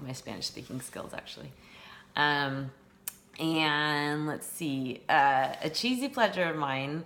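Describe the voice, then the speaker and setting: Spoken at a fairly slow pace with a Californian accent, the voice keeps a fairly even intonation. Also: woman. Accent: General American, Californian. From Northern California. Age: 40s. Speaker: teacher. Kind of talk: self-introduction monologue. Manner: hesitant, many fillers.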